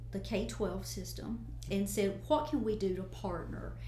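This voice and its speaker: In a room with audible echo, a woman with an American accent speaks at a fairly slow pace. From US South, Northeast Tennessee. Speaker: college president. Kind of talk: interview. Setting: studio.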